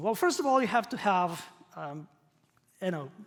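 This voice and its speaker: A man with a Croatian accent speaks in a high pitch. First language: not English. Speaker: professor. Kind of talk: lecture. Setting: stage with audience.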